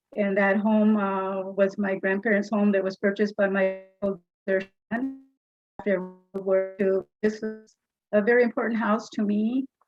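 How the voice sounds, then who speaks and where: Flat, monotone delivery with an American accent at a moderate pace, music playing in the background. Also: woman, medium pitch for a woman. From California, Bakersfield. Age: 70s. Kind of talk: public comment at board meeting. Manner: halting.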